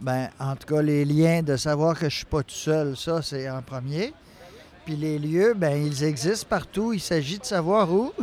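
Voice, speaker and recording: A man talks in a plain, everyday voice at a fairly slow pace. His pitch shows ordinary variation. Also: fairly high pitch for a man. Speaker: mental health service user. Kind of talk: interview.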